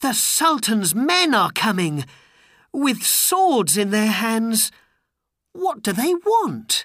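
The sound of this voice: Using a put-on character voice, the speaker talks at a slow pace with big pitch swings and a fairly bright tone. The recording is very clean, with a silent background. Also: man, extremely high pitch for a man.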